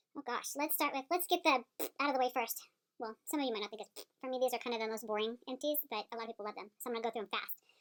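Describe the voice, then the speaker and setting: Talking at a very fast pace, a woman uses a high pitch with ordinary pitch variation. The sound is dry and close, with no echo. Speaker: beauty vlogger. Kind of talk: casual product review monologue.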